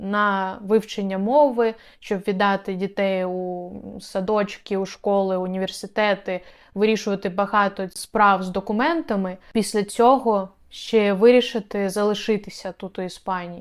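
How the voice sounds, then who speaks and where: A woman uses a plain, everyday voice at a medium pitch, with fairly even intonation and a fairly slow pace, on a very clean recording with a silent background. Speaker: video blogger and relocation consultant. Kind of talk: informational video tutorial.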